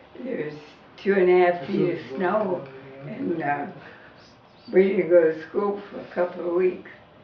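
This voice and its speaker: In an American accent, a woman speaks at a fairly low pitch with long, frequent pauses and big swings in loudness. Audible room echo and noticeable background noise fill the recording. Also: ordinary pitch variation, fairly slow pace. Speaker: elderly woman recalling her life. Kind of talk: casual family interview. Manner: halting.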